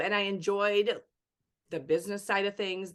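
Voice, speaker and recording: Loud and animated, a woman with a medium pitch and a bright, sharp tone speaks over a quiet background. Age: 40s. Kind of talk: casual chat.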